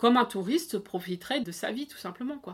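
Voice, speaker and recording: Somewhat breathy and fairly high, a woman's voice makes very wide pitch swings in a very clean recording with a silent background. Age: 30s. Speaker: expatriate sharing her experience. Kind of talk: casual interview.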